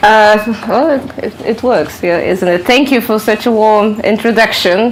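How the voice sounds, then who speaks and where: A woman with a Polish accent speaks at a fairly slow pace in a fairly high voice, with ordinary pitch variation, audible room echo and noticeable background noise. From Poland. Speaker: author and researcher. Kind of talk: lecture. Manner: halting.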